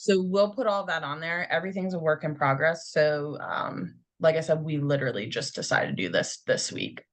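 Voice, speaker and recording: A woman's very deep, low voice with ordinary pitch variation at a fairly quick pace. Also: hardly any pauses. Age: 30s. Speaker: podcast co-host. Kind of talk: casual chat.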